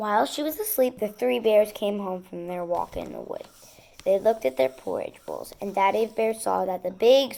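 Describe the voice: This is plain reading aloud. The voice reads through the text.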